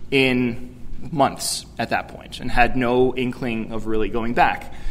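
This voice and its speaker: This man speaks with an American accent. His intonation stays fairly even. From New York City. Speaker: youth ministry director; keynote speaker. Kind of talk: keynote speech. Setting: conference stage with audience. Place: hall. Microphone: podium.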